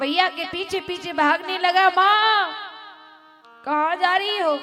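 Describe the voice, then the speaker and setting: A woman's raised, projected voice, extremely high in pitch, ordinary pitch variation, music in the background. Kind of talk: devotional storytelling (katha) narration.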